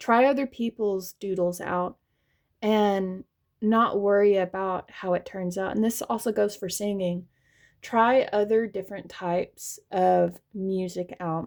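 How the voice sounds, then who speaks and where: In a very clean recording with a silent background, a woman speaks with a slight Southern US accent. Her pitch is medium and her pace fairly slow. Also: fairly even intonation. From US South. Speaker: tarot reader. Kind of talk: tarot reading monologue.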